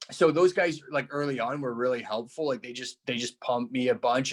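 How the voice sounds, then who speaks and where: A man with a Canadian accent speaks at a fairly quick pace in a normal speaking voice, his pitch medium and its variation ordinary. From small-town Canada. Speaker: stand-up comedian. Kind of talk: casual interview chat.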